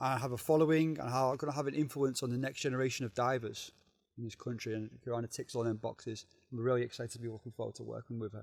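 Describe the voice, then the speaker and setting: A man with a Liverpool accent and a medium pitch talks at a very fast pace with fairly even intonation. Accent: Liverpool (Scouse) English. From northern England, Liverpool. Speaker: diving organisation regional manager. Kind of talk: casual podcast interview.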